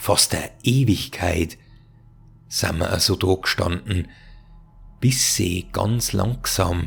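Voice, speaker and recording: A man speaks at a very slow pace with a very deep, low pitch, somewhat breathy, with ordinary pitch variation and long, frequent pauses. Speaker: storyteller, narrator of horror tales. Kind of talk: horror story narration.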